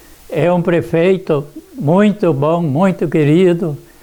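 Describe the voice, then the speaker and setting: A man with a high pitch and ordinary pitch variation talks over noticeable background noise. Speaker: elderly resident. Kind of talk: oral history interview. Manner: halting, many repetitions.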